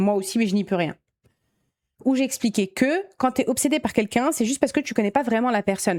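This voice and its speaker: Fairly high-pitched and animated, a woman talks at a fairly quick pace with lively intonation and very even loudness, in a very clean, dry, close recording with a silent background and no echo. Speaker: YouTuber storyteller. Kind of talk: reading listener mail with commentary. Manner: fast.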